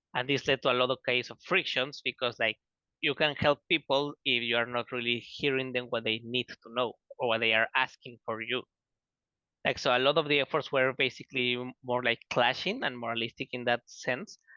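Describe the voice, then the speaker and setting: Speaking in a Spanish accent, a man goes at a fairly quick pace with a bright, sharp tone and a medium pitch. His intonation stays fairly even, and the sound is dry and close with no echo. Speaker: student researcher. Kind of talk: online panel presentation. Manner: fast.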